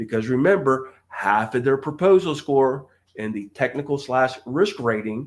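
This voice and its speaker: In an ordinary speaking voice, a man with medium pitch and lively intonation speaks at a fairly slow pace. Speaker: government contracting trainer. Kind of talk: live stream training talk. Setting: live stream.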